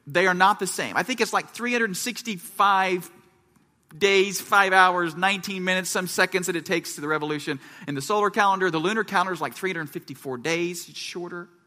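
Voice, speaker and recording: A man's high, bright, sharp voice, raised and projected, at a very fast pace with ordinary pitch variation. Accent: American. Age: 30s. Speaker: pastor. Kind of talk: sermon. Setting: church.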